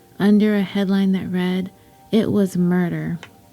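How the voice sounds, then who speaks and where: Over music in the background, a woman at a medium pitch speaks at a moderate pace. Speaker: podcast host. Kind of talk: true story podcast narration.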